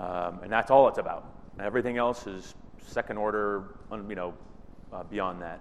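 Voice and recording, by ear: A loud man at a fairly low pitch, moderate pace and fairly even intonation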